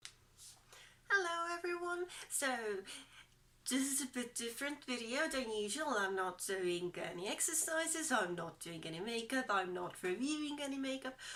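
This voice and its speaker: Raised and projected, a woman's high-pitched voice has a bright, sharp tone, moving at a moderate pace with very wide pitch swings. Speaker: beauty and style vlogger. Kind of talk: casual talk to camera.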